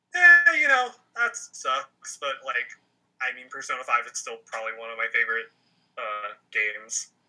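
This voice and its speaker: Music plays behind the voice. A man talks at a moderate rate. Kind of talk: casual chat.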